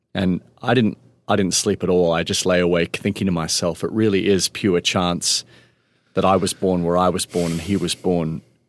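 A man with an Australian accent talks at a moderate pace in a very deep, low voice with monotone, flat intonation. The sound is dry and close, without echo. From Melbourne, Australia. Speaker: nonprofit founder and chief executive. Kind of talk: interview conversation. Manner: halting with fillers.

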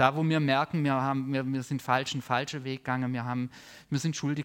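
The sound is dry and close with no echo. It carries an ordinary speaking voice at a moderate pace with fairly even intonation. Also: man. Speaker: preacher. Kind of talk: sermon with prayer, teaching a congregation. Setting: church service with live audience and online viewers. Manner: warm, earnest, conversational preaching.

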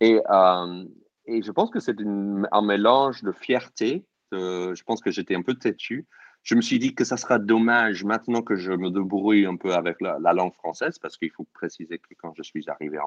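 Against a quiet background, a man with a fairly low pitch and ordinary pitch variation speaks at a moderate pace, his loudness swinging widely in a dry, close sound with no echo. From US, New York suburbs. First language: English (speaking French). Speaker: comedian. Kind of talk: casual chat. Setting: online audio room. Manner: halting.

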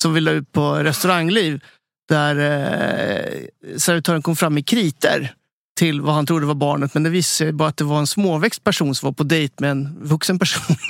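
A man with a fairly high pitch speaks in an ordinary speaking voice at a moderate pace, his intonation fairly even, his loudness very even, and the sound dry and close with no echo. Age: 40s. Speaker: chef, podcast co-host. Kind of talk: casual chat.

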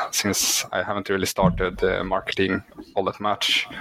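A man's fairly low voice with a Swedish accent at a moderate pace, against noticeable background noise. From Sweden. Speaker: indie author, works full time. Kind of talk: interview. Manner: halting.

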